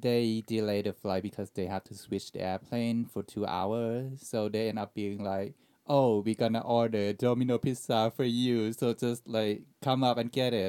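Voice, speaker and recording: With hardly any pauses, a man with a dark, mellow tone and a Thai accent speaks in fairly even intonation. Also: medium pitch for a man, moderate pace, dry, close sound with no echo. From Thailand. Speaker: airline pilot scheduler and podcast editor. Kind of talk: casual chat.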